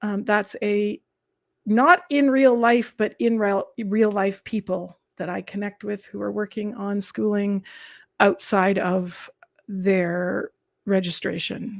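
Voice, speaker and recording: A woman speaks in a calm tone at a very slow pace. Her pitch is medium, with fairly even intonation. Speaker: teacher. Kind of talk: livestream chat with viewers.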